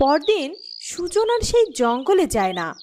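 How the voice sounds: Speaking at a fairly slow pace, a woman uses a high pitch with big swings and a slightly mellow tone.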